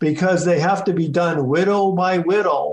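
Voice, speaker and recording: Put-on character voice from a man, pitched high, moving at a moderate pace. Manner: comic, cartoonish.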